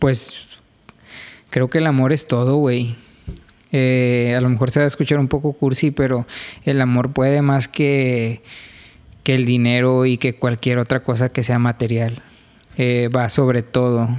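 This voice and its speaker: A man's medium-pitched, monotone voice, fairly slow, with long and frequent pauses and very even loudness. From Mexico, Reynosa. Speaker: podcast co-host. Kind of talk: casual chat.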